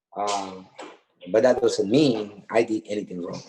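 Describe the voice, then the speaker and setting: The speaker talks at a very slow pace with a Spanish accent. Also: man. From Honduras. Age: 40s. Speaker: death row exoneree. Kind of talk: testimony.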